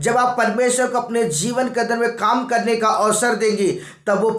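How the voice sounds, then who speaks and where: A man's voice over noticeable background noise. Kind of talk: sermon preaching to a congregation.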